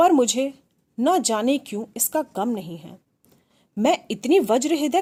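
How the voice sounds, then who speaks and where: With a dark, mellow tone, a woman speaks in very wide pitch swings. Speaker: storyteller. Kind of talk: first-person literary narration.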